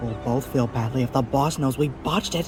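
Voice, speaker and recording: Over loud background music, a man performs a put-on character voice at a medium pitch. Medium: machinima.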